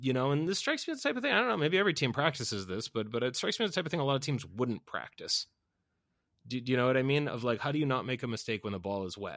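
At a very fast pace, a man with a medium pitch and an American accent speaks with lively intonation. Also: very clean recording, silent background. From US Northeast (Boston). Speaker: podcast host. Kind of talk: casual chat.

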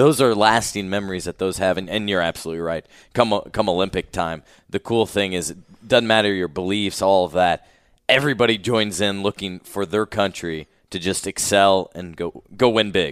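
Here is a man with an ordinary speaking voice and an American accent. He talks at a moderate pace with a fairly low pitch and ordinary pitch variation. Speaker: sports podcast host. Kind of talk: interview. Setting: conference room.

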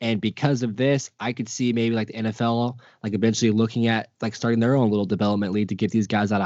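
In a monotone, flat intonation, a man with a fairly low pitch speaks at a very fast pace with hardly any pauses. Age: 20s. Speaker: sports podcast co-host. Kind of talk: casual chat. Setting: video call. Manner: stutter.

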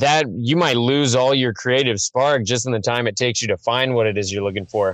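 A man's ordinary speaking voice with an American accent, medium in pitch with ordinary pitch variation, at a fairly quick pace with hardly any pauses and very even loudness. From Missouri, small town. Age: 30s. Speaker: rapper. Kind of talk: casual chat. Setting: phone call.

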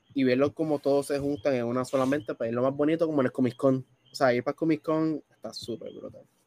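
Speech races by at a very fast pace in a dry, close sound with no echo. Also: man, fairly high pitch for a man. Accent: Puerto Rican. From Puerto Rico, Bayamón. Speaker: gaming content creator. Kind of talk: casual chat. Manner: animated.

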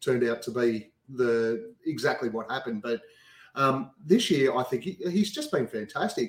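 At a moderate pace, a man with an Australian accent speaks at medium pitch with ordinary pitch variation. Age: 40s. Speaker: sports podcaster. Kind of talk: casual chat. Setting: video call.

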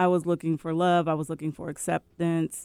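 A woman's fairly low voice with monotone, flat intonation, dry and close with no echo. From West Seattle, Washington, US. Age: 50s. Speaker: author and publisher. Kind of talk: casual chat.

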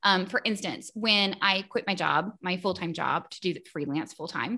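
A woman's bright, sharp voice at a medium pitch, moderate pace, and a quiet background. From East Tennessee (Morristown). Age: 30s. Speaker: freelance graphic designer and entrepreneur. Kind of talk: interview conversation.

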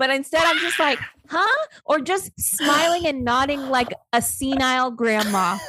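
Raising and projecting her voice, a woman with a high pitch speaks at a fairly slow pace in an animated tone, with lively intonation and very even loudness. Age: 30s. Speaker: podcast co-host. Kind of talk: casual chat.

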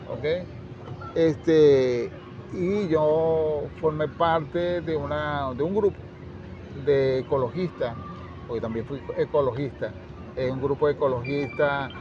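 Amid noticeable background noise, a man with a fairly high voice speaks at a very slow pace with ordinary pitch variation. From Venezuela, La Victoria, Aragua. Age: 60s. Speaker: educator and author. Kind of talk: interview. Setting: book fair.

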